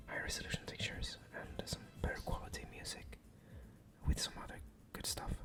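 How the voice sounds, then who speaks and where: With music in the background, a man is whispering. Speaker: ASMR gaming content creator. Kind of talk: ASMR whispered gameplay commentary. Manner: whispered, soft-spoken.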